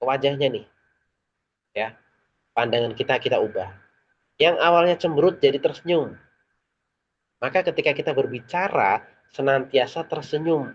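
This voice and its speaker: A shrill, fairly high-pitched man speaks at a moderate pace with ordinary pitch variation. He leaves long, frequent pauses. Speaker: public speaking trainer. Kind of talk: online training session. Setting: online meeting with chat.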